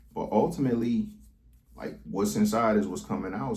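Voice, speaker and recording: A man is speaking. The room echo is audible. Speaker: vlogger. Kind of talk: casual monologue vlog. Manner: stuttering, stammering; rambling, halting.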